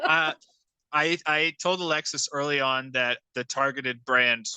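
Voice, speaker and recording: Bright and sharp in tone, a man of medium pitch speaks at a fairly slow pace with ordinary pitch variation, in a dry, close sound with no echo. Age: 20s. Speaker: YouTube rockhound creator, podcast co-host. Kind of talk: casual chat. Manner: animated.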